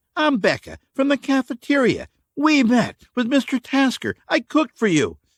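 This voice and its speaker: In a put-on character voice, a man talks at an extremely high pitch with an anxious tone and a moderate pace. The recording is very clean, the background silent. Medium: read story. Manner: anxious, pleading.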